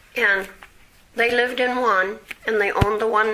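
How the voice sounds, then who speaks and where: Against noticeable background noise, a woman with a fairly high pitch talks at a moderate pace in a monotone, flat intonation. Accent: American. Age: 70s. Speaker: oral history interviewee. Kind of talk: oral history interview. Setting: at home.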